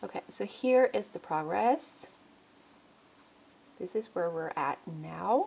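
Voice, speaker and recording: Very slow and full of long, frequent pauses, a woman's dark, mellow voice sits fairly low with vocal fry and very wide pitch swings. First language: not English. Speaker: beauty vlogger. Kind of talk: makeup product review vlog. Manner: casual, with self-corrections.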